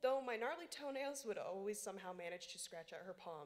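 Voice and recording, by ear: The reading aloud is done in a natural voice, and the intonation is lively.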